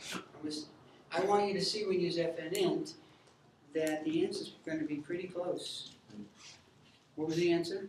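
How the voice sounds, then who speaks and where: A man with a high-pitched voice speaks in a flat monotone, leaving long, frequent pauses, and the room echo is audible. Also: moderate pace. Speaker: math teacher. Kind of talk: classroom lecture. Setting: classroom.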